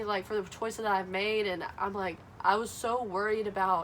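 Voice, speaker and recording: A woman talks with a Southern US accent at a fairly quick pace. Her pitch sits fairly high. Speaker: Bible study vlogger. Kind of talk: casual talk to camera. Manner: hesitant, some stuttering.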